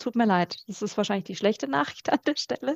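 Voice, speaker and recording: A woman at a medium pitch speaks with vocal fry. The background is quiet and the sound dry and close, with no echo. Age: 30s. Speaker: podcast co-host and coach. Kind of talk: casual chat.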